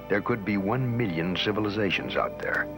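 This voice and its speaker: A man's fairly low, dramatic voice at a fairly quick pace, with music in the background. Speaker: documentary narrator. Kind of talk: dramatic documentary narration. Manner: dramatic, measured.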